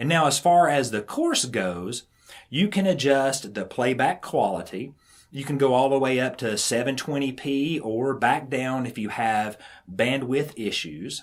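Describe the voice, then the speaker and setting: At a fairly slow pace, a man with a Southern US accent speaks at a medium pitch with lively intonation. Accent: Southern drawl. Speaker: irrigation instructor. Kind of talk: tutorial.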